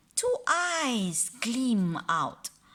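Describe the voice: Big pitch swings mark a woman's fairly high, fairly bright voice. She speaks at a very slow pace.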